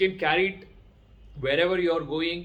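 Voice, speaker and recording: A man with a Kannada accent speaks at a moderate pace in a high pitch. His intonation is monotone and flat. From India, Karnataka. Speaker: educator and vlogger. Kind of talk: talk to camera. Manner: halting, many fillers.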